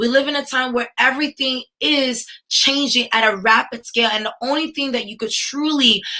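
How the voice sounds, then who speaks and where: Raised and projected, a woman's high voice with an American accent carries a bright, sharp tone, ordinary pitch variation and a moderate pace. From New York, US. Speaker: tech entrepreneur and speaker. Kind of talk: conference keynote talk. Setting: virtual livestreamed summit. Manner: animated, addresses audience directly.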